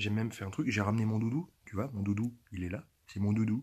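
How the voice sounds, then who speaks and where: A man's fairly low, somewhat breathy voice with fairly even intonation. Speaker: youtuber. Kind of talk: casual vlog monologue. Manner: stammering, repeating words; whispering.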